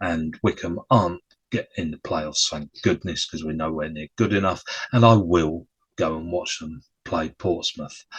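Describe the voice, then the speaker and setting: The man's speech moves at a moderate pace. There is a somewhat breathy quality to it. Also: dry, close sound with no echo. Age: 60s. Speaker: football podcaster. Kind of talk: casual solo chat.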